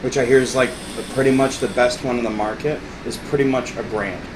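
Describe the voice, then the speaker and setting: Amid audible room echo and noticeable background noise, a man talks at a moderate pace and medium pitch. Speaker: gaming podcast host. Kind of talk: casual chat. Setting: at home with a friend. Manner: animated.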